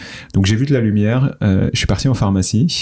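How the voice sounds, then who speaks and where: His pitch is fairly low, and his tone is dark and mellow. This man speaks at a moderate pace. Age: 30s. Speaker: startup founder. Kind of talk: interview.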